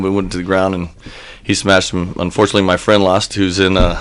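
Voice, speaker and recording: Over noticeable background noise, a man talks at a fairly quick pace. He has an American accent and a fairly low pitch. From United States. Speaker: combat sports promoter. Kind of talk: radio interview. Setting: radio studio.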